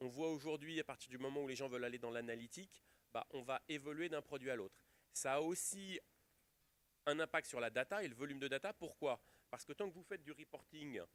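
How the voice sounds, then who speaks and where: Loudness swings widely as the speaker goes at a fairly quick pace. Pitch varies in an ordinary way, and the sound is dry and close with no echo. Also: man, fairly high pitch for a man. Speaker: IT industry executive speaking at a conference. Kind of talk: conference talk.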